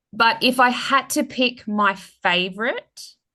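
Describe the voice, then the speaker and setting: Bright and sharp in tone, a woman speaks with an Australian accent. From Australia, Sydney. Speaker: romance author. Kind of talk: interview. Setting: podcast.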